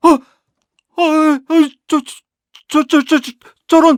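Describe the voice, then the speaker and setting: Using a put-on character voice, a woman speaks at an extremely high pitch and a fairly slow pace, recorded with a dry, close sound and no echo. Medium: read story. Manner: stammering.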